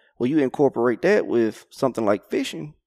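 With an Arkansas accent, a man of medium pitch and ordinary pitch variation talks at a very fast pace, the sound dry and close with no echo. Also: very clean recording, silent background. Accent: Southern US (Arkansas). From Arkansas, Conway area. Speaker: professional crappie angler. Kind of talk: casual interview. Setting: outdoors at a lake tournament.

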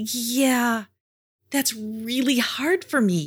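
In a very clean recording with a silent background, a woman does a put-on character voice, fairly high in pitch with a slightly husky edge, at a very slow pace. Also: ordinary pitch variation.

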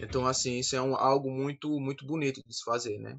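This man has an ordinary speaking voice, medium pitch and fairly even intonation. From Campina Grande, Paraíba, Brazil. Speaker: synagogue community leader. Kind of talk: panel discussion.

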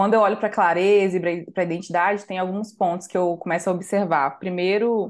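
Against a quiet background, a woman with a normal speaking voice talks at a fairly quick pace, her fairly low pitch carrying fairly even intonation. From Brazil, Minas Gerais (Santa Luzia, Belo Horizonte area). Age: 20s. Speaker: designer and community leader. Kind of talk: interview conversation.

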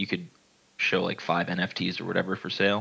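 This man's voice has a bright, sharp tone. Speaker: crypto game community member. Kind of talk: casual chat. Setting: online group call.

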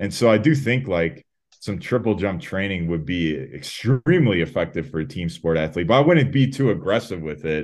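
A man with an American accent has a fairly low pitch. His voice makes very wide pitch swings. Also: moderate pace. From Chicago, Illinois, US. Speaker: sprint and jumps coach. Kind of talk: casual interview. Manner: many fillers (um, uh).

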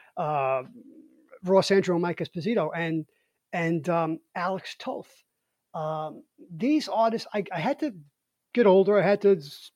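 Lively intonation marks this fairly slow speech in a Brooklyn accent, with long, frequent pauses and a dry, close sound with no echo. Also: man, high pitch for a man. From Brooklyn, New York. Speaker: podcast host. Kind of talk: casual chat.

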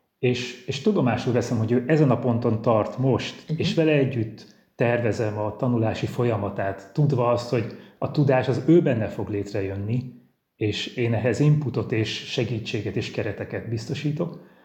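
A man with a somewhat breathy, dark, mellow tone is heard with audible room echo. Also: medium pitch for a man, ordinary pitch variation, moderate pace. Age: 40s. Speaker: Benedictine monk and teacher. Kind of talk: interview. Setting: virtual studio.

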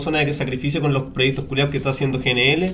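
There is audible room echo around this man's fairly high-pitched voice. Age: 20s. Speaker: podcast host. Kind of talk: scripted intro; casual chat.

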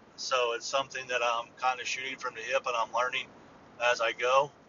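Against noticeable background noise, a man talks at a moderate pace in a monotone, flat voice. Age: 40s. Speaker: hobbyist podcaster. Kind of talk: casual monologue. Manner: halting, many fillers.

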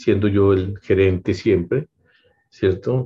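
A man's fairly low, somewhat breathy voice with a dark, mellow tone, at a fairly slow pace. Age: 60s. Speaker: business owner. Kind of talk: interview. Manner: halting, many fillers and repetitions.

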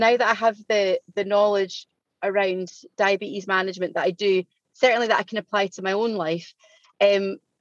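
With a Scottish accent, a woman speaks at a medium pitch and fairly even intonation in a dry, close sound with no echo. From Scotland. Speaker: diabetes coaching client. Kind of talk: podcast interview. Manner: fast.

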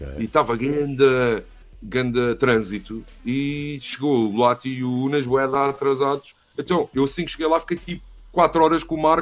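A man has a plain, everyday voice at a fairly high pitch. His pace is moderate and his pitch variation ordinary. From Portugal. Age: 30s. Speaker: university professor and film buff. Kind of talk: casual chat.

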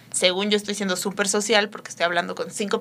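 A woman's medium-pitched voice at a fairly quick pace, monotone and flat in intonation. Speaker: instagram creator. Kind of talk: casual chat.

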